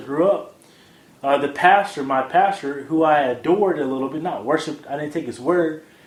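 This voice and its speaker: Noticeable background noise sits behind a man talking at a fairly quick pace, his fairly high pitch held in fairly even intonation. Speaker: podcast host. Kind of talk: casual audio blog commentary. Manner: halting, frequent fillers and restarts.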